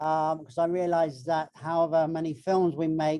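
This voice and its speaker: The speaker has a British accent and keeps a moderate pace. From Britain. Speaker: marine biologist and filmmaker. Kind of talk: panel talk. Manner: halting.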